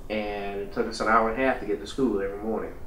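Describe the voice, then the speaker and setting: A man speaks at a moderate pace with a Louisiana accent. Audible room echo fills the recording. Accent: Louisiana Southern US. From Baton Rouge, Louisiana. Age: 50s. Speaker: architect. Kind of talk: interview testimony. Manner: hesitant with fillers.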